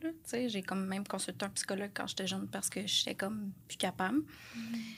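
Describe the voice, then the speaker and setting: On a very clean recording with a silent background, a woman with a bright, sharp tone talks fairly quickly at medium pitch, with ordinary pitch variation. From Quebec, Lanaudière. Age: 30s. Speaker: correctional officer, fitness coaching client. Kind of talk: casual interview.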